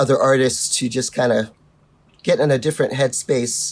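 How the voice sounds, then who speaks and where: A very clean recording and silent background, with speech at a moderate pace. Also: man. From New York (Brooklyn). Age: 60s. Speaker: musician and arts organizer. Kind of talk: podcast interview. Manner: animated.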